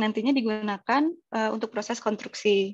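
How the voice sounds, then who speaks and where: A woman at a moderate pace and fairly high pitch, with ordinary pitch variation, in a dry, close sound with no echo. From Indonesia, Bandung (West Java). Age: 20s. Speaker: civil engineering freelancer, webinar speaker. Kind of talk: webinar presentation. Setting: online webinar. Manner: hesitant fillers (eh).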